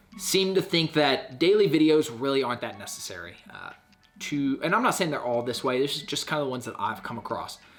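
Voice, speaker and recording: Over music in the background, a man with a fairly high pitch talks at a fairly quick pace, with very wide pitch swings and big swings in loudness. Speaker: YouTuber giving channel-growth advice. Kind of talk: casual talking-head vlog tutorial.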